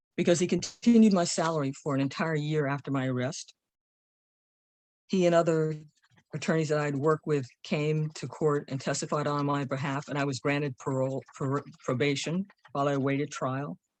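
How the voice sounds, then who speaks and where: A woman with an American accent and a very deep, low pitch speaks at a fairly quick pace with fairly even intonation. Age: 70s. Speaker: returning citizen sharing testimony. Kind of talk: testimony.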